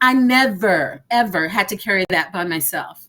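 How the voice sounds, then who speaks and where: A woman with a Texan accent at a moderate pace. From Texas. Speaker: entrepreneur panelist. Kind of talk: panel discussion.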